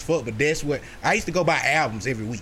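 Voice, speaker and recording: In a room with audible echo, a man with a fairly high pitch talks at a very fast pace with lively intonation. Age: 30s. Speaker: podcast host. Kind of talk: casual chat.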